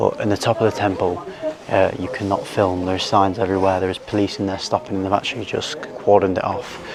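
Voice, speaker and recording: A quiet man with an English accent talks at a very fast pace over noticeable background noise. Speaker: travel vlogger. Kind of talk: vlog narration. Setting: outdoors.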